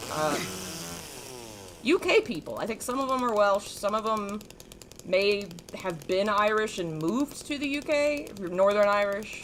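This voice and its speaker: The speaker has an American accent and talks at a fairly slow pace, leaving long, frequent pauses. The intonation is lively, and there is noticeable background noise. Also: woman, medium pitch for a woman. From US South, North Carolina. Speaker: gaming streamer. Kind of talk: live stream gameplay commentary with chat. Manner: casual, chatty.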